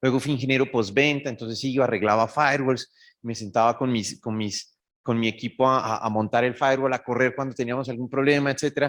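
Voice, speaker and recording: Speaking quite quickly, a man with a Bogotá Colombian accent talks at a medium pitch. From Colombia, Bogotá. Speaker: cybersecurity executive. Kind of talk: conference talk. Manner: animated.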